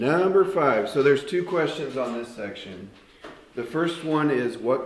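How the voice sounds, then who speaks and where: An unremarkable speaking voice from a man, moderate in pace and lively in intonation. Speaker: math teacher. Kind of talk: classroom lesson. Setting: classroom with students.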